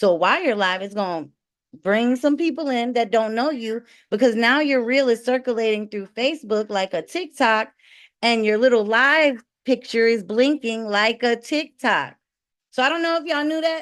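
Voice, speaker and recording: A woman speaks at a fairly high pitch with lively intonation against a quiet background. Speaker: online selling coach. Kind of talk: webinar presentation. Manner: fast; loud.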